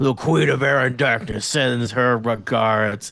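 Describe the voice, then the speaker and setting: A man does a put-on character voice, growling at a fairly slow pace. His pitch sits at a medium level, with light background noise behind him. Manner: growling, menacing.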